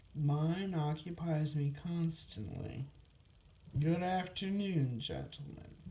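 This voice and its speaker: A woman speaks very slowly at a very deep, low pitch with ordinary pitch variation. There is noticeable background noise. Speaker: storyteller reading aloud. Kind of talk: children's storybook reading.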